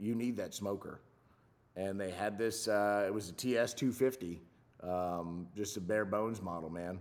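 A normal speaking voice with an American accent, moderate pace and fairly even intonation. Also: man. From Southern California. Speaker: chef for film and TV sets. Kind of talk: casual chat.

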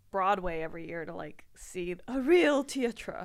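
A woman speaks in a plain, everyday voice at a fairly slow pace. Her intonation is lively, and the recording is very clean with a silent background. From Washington DC area. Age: 20s. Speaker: comedian. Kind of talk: casual chat.

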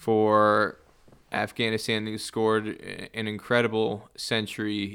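A man speaks very slowly with a New Jersey accent. The recording is very clean, with a silent background. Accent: American, New Jersey. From US Northeast, New Jersey. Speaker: cricket journalist. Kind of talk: casual interview. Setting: scorer's box at a cricket ground.

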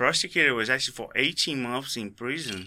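This man talks at a medium pitch. He has a Brazilian accent. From Brazil (raised in Rio de Janeiro). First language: Portuguese. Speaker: skydiving tandem instructor. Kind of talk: casual interview.

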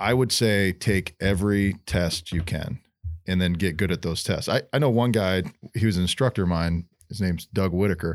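At a moderate pace, a man with an American accent speaks in a very deep, low pitch with ordinary pitch variation, in a very clean recording with a silent background. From upstate New York. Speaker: career firefighter. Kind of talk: casual chat.

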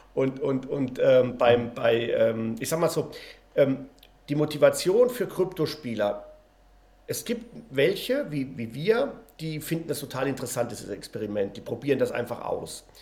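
Using a normal speaking voice, a man with a fairly high pitch talks at a fairly slow pace with lively intonation. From Spain. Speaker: game company founder. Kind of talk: interview.

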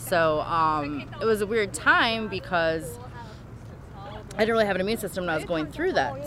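Noticeable background noise sits under a woman whose fairly low voice moves in very wide pitch swings. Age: 40s. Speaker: cancer survivor and caregiver. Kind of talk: personal testimony.

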